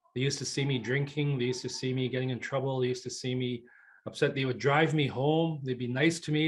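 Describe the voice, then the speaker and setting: A man's medium-pitched, somewhat breathy voice at a fairly quick pace with fairly even intonation. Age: 60s. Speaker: retired professional, community elder. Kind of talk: personal testimony on a panel.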